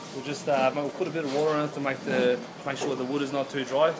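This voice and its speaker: A man rattles along at a very fast pace despite loud noise all around. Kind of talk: casual vlog chat. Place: factory. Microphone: phone near.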